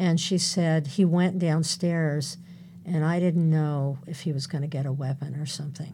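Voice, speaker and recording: In an American accent, a woman speaks at a fairly slow pace with a very deep, low pitch and a dark, mellow tone. Her voice is somewhat breathy, and her intonation is monotone and flat. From California. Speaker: domestic violence counselor. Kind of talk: interview.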